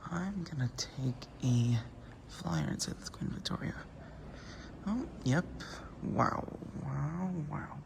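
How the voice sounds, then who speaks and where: A man's voice at a very slow pace, with long, frequent pauses and noticeable background noise. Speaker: travel vlogger. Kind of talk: casual travel vlog narration. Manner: animated; whispering.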